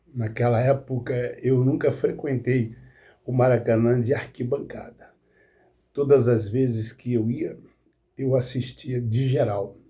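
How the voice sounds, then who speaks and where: A man's somewhat breathy, dark, mellow voice at medium pitch, very slow and fairly even in intonation. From Rio de Janeiro state, Duque de Caxias (born in Minas Gerais). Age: 70s. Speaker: football commentator, YouTuber. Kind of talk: casual monologue, football analysis. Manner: halting, with fillers.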